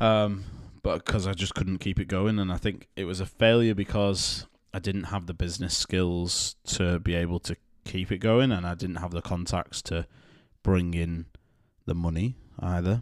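In a very clean recording over a silent background, a man with a British accent speaks in a very deep, low voice with fairly even intonation. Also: moderate pace. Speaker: podcast co-host. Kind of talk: casual chat. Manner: joking, self-deprecating.

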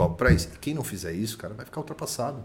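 Pitch swinging very widely, a man rattles on at a very fast pace. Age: 30s. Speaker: real estate agency director. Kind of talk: casual chat.

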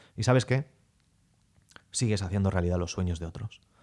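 Very clean and silent in the background, with a dry, close sound and no echo, the recording has a man speaking at a fairly quick pace with ordinary pitch variation. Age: 30s. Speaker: sales coach podcaster. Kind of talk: motivational monologue. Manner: animated.

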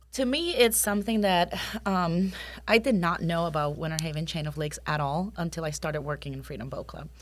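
A woman talks at a fairly quick pace in a fairly low pitch, with vocal fry. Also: ordinary pitch variation, big swings in loudness. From Puerto Rico. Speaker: boat club manager. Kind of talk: casual interview.

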